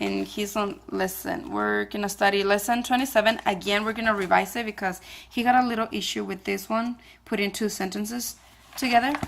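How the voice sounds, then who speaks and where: The speaker has a non-native accent and a fairly quick pace. The intonation stays fairly even. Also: woman, medium pitch for a woman. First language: not English. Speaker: homeschooling parent vlogger. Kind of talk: casual vlog talk. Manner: halting, many fillers.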